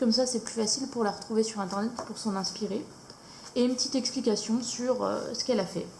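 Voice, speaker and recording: A woman with a fairly high-pitched voice talks over noticeable background noise. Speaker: YouTuber showing coloring books. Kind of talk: casual product review. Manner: hesitant, many fillers.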